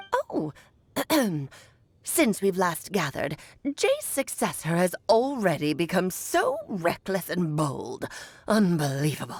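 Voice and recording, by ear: The speaker uses a put-on character voice at a fairly slow pace. Long pauses come often. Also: woman, medium pitch for a woman.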